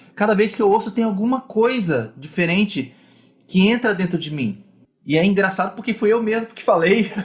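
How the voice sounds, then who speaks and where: This man's voice sits at a high pitch and shows ordinary pitch variation. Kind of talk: online teaching session. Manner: fast.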